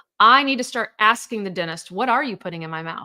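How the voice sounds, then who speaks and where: Bright and sharp, a woman's voice carries lively intonation and an animated tone. The recording is very clean with a silent background. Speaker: divorce coach. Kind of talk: live stream sales pitch. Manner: fast.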